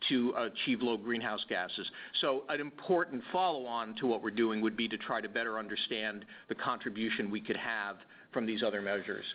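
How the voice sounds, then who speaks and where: At a fairly quick pace, a man speaks at a medium pitch with ordinary pitch variation. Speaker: transportation energy researcher. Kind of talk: webinar presentation. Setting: webinar. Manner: loud; hesitant with many fillers.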